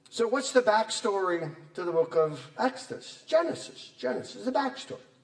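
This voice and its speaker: A man's high-pitched voice over noticeable background noise. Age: 60s. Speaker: Bible professor. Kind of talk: lecture. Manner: animated.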